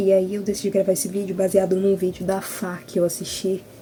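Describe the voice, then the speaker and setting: A medium-pitched woman at a fairly quick pace against noticeable background noise. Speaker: writer and video blogger. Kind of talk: casual vlog chat. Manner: soft-spoken.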